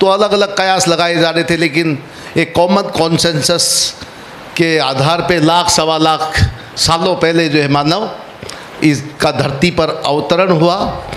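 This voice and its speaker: With noticeable noise behind him, a man speaks in a high voice at very even loudness and with fairly even intonation. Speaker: workshop facilitator. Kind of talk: workshop talk. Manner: halting, many fillers.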